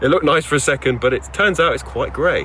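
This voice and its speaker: A very fast-talking man in a British accent, with noticeable background noise. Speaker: car reviewer. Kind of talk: car review presentation. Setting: in a car. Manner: casual, chatty.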